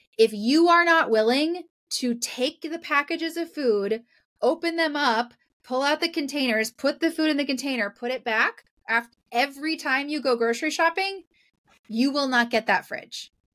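Ordinary pitch variation in a woman's high voice, delivered at a moderate pace. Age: 40s. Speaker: professional organizer. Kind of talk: casual chat.

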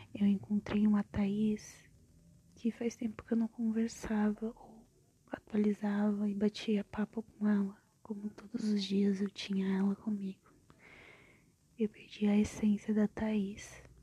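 A woman's dark, mellow, somewhat breathy voice at medium pitch, very slow and monotone with long, frequent pauses, in a dry, close sound with no echo. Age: 20s. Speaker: podcaster. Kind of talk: personal monologue.

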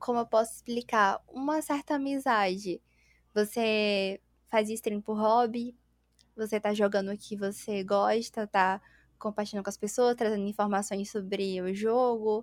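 On a very clean recording with a silent background, a woman has an ordinary speaking voice pitched fairly high. She speaks at a fairly slow pace with fairly even intonation, the sound dry and close with no echo. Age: 20s. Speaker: streamer and interior designer. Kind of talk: casual chat.

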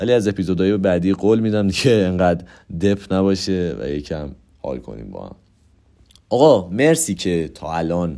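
Lively intonation and big swings in loudness mark this man's speech. His pitch is very deep and low, his tone dark and mellow. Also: very clean recording, silent background. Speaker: podcast host. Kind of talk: casual monologue. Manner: rambling fast talk; stammering at times.

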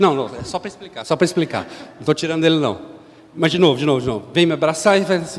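Over noticeable background noise, a man talks very fast in an animated tone, with ordinary pitch variation and big swings in loudness. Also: fairly high pitch for a man. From Brazil, São Paulo. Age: 50s. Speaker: lay preacher. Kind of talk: sermon.

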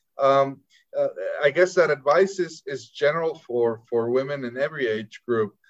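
A man's moderate pace and ordinary pitch variation, fairly high in pitch, in an ordinary speaking voice. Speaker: interviewer and honorary consul. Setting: video call.

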